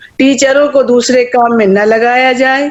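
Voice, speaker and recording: This woman's voice sits at a fairly high pitch. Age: 60s. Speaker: retired teacher and education activist. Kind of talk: online meeting remarks. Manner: animated.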